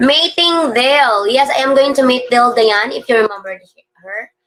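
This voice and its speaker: At a moderate pace, a woman with a Filipino accent speaks with ordinary pitch variation. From Philippines. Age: 40s. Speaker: vlogger. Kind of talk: live stream chat reading viewer comments. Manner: halting.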